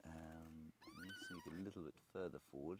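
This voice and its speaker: A man speaks quietly at a very deep, low pitch. His pace is fairly slow. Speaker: safari guide. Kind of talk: live commentary. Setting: outdoors.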